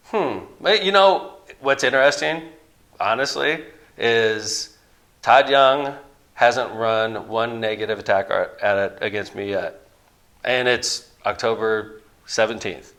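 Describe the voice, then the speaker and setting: In a Midwestern American accent, a man speaks loudly at a medium pitch with lively intonation. His pace is very slow, with long, frequent pauses. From northern Indiana, Lake County. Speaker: mayor and Senate candidate. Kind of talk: interview.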